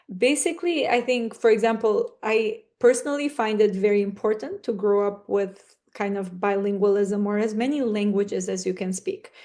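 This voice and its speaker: An Albanian accent marks this woman's fairly high voice, which has a dark, mellow tone, ordinary pitch variation and a moderate pace with hardly any pauses. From North Macedonia, Struga (Albanian community). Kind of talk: podcast interview.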